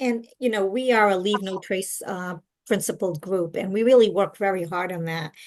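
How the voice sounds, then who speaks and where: A woman speaks at a moderate pace and a medium pitch. Her pitch varies in an ordinary way, and the background is quiet. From Portuguese-speaking country, immigrant to US. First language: Portuguese. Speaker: walking club leader. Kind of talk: interview.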